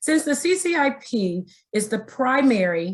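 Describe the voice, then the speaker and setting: A woman speaks in a somewhat breathy voice. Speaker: state education agency trainer. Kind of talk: webinar training presentation.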